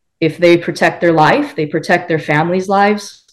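On a very clean recording with a silent background, a woman talks with an American accent. Her unremarkable speaking voice sits fairly low with ordinary pitch variation. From Wisconsin. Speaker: legal protection company representative. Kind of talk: interview.

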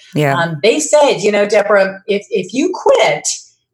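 A woman is talking. Her pace is fairly slow. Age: 60s. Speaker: motivational speaker and masters swimmer. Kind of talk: podcast interview.

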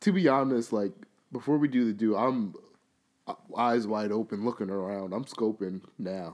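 A fairly low-pitched man with an American accent, ordinary pitch variation, a moderate pace and long, frequent pauses. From New York. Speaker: podcast co-host. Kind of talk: casual chat.

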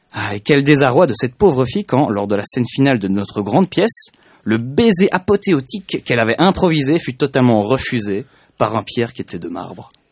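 A man's medium-pitched voice with very wide pitch swings, dry and close with no echo, over a quiet background. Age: 20s. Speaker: intern and multimedia student. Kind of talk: reading own text aloud. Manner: halting.

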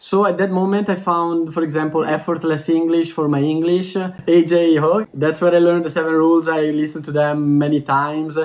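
A man with an Italian accent talks at a fairly quick pace and fairly high pitch. His intonation is monotone and flat, with hardly any pauses. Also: very even loudness. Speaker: language teacher. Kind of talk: interview. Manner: fast.

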